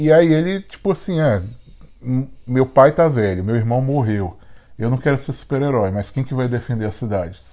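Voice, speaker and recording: A man with a Brazilian accent, dark and mellow in tone, lively intonation and long, frequent pauses. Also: medium pitch for a man, moderate pace. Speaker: podcast co-host. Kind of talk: casual chat.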